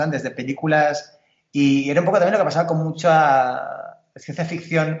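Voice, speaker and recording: A man with fairly high pitch talks in an ordinary speaking voice with fairly even intonation. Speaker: podcast host. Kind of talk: casual interview chat.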